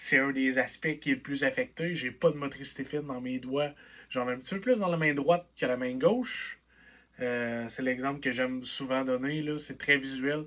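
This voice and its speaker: At a moderate pace, a man with a fairly high pitch keeps his intonation fairly even. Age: 20s. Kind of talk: personal vlog monologue. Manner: casual, conversational.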